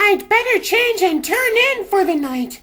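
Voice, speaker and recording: In a cartoonish character voice, a man speaks at a moderate pace with a squeaky, extremely high pitch. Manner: theatrical, grand.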